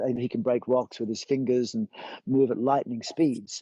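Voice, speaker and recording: With an Australian accent, the voice shows ordinary pitch variation. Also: man. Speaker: yoga teacher and physiotherapist. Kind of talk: casual chat. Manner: fast; animated.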